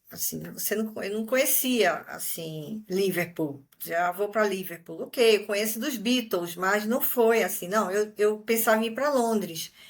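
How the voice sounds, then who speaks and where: A woman with an unremarkable speaking voice talks at a fairly slow pace with hardly any pauses, her fairly high pitch showing ordinary pitch variation. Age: 50s. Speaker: retiree, exchange student. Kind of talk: interview.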